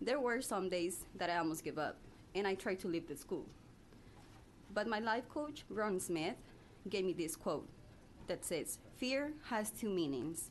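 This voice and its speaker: A woman speaks at a fairly slow pace with long, frequent pauses. Her pitch swings very widely while her loudness stays very even. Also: medium pitch for a woman. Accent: non-native. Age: 20s. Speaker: public witness. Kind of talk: testimony read from a statement. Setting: legislative committee hearing room.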